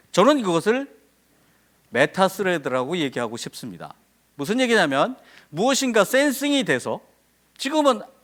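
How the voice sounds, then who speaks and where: A man with a high voice speaks with very wide pitch swings and long, frequent pauses. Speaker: professor. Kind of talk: conference talk. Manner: fast; animated.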